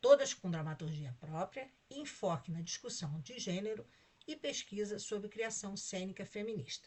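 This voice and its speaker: Speaking at a moderate pace and medium pitch, a woman's somewhat breathy voice shows very wide pitch swings and big swings in loudness. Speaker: conference organizing committee president. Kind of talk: formal introduction of a speaker. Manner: reading a prepared bio.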